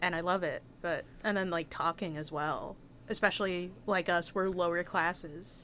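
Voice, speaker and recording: A woman with a bright, sharp tone and fairly low pitch talks at a moderate pace with fairly even intonation. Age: 20s. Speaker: graduate student. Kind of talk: casual chat.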